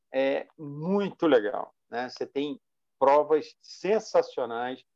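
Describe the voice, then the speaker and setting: This man's tone is dark and mellow. He talks at a very slow pace. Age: 60s. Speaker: sim racer, team manager, youtuber. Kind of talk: casual interview. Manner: hesitant, repetitive fillers.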